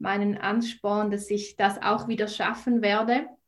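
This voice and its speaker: Somewhat breathy and fairly high in pitch, a woman speaks at a moderate pace with a Swiss German accent. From Switzerland. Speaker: nutrition and mindset coach. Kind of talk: podcast interview.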